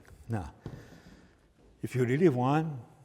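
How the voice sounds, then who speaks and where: This is a man speaking. He has a Hungarian accent. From Hungary. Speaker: photography instructor. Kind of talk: live workshop demonstration.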